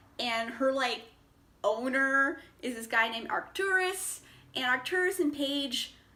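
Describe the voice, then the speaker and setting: Woman's raised, projected voice, high in pitch, upbeat in tone, with lively intonation at a fairly slow pace over noticeable background noise. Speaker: book reviewer. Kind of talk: casual talk to camera. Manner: chatty, upbeat.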